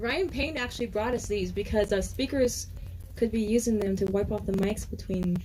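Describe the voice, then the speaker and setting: With ordinary pitch variation and a medium pitch, a woman speaks at a moderate pace as noticeable background noise carries on. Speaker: event emcee. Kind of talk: event introduction. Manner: soft-spoken; halting.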